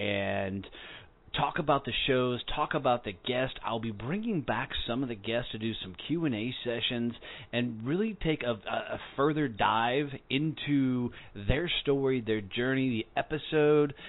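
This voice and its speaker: A moderate pace and ordinary pitch variation in an ordinary speaking voice. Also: man, medium pitch for a man. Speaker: podcast host. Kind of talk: podcast promo. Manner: casual.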